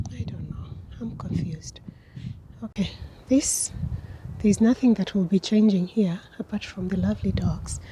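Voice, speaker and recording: Quiet whispering moves at a moderate pace with long, frequent pauses against noticeable background noise. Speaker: vlogger. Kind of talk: walking vlog commentary.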